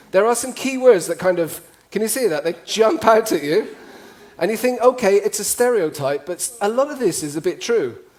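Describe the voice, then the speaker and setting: A man's high voice with an English accent, very wide pitch swings, a fairly quick pace and noticeable background noise. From UK. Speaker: cross-cultural communication trainer. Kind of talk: talk to a live audience. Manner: animated.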